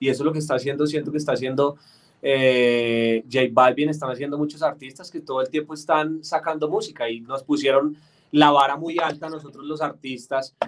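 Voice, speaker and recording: With a slight Antioquia Colombian accent, a man speaks fairly quickly in a monotone, flat intonation at a fairly high pitch. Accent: Colombian paisa (Antioquia) tinge. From Colombia, Bogotá. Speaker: singer-songwriter. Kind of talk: interview.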